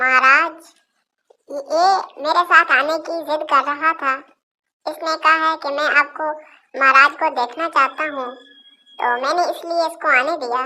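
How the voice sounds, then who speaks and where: In a high, cartoonish character voice, a woman talks at a moderate pace with fairly even intonation. She leaves long, frequent pauses. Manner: sweet and trusting.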